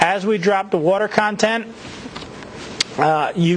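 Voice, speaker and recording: Noticeable background noise sits behind the voice. A man speaks with ordinary pitch variation. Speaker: university lecturer. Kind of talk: lecture. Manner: fast.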